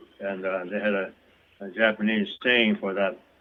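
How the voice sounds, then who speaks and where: A man speaks at a moderate pace in an American accent. Noticeable background noise can be heard. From US West, California and Colorado. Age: 80s+. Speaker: camp survivor. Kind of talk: interview recollection. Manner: halting, many fillers.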